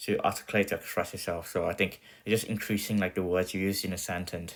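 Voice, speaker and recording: The man's voice is very deep and low. He talks very fast in a monotone, flat delivery. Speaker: self-improvement vlogger. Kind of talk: casual monologue to camera. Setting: talking to camera. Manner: halting.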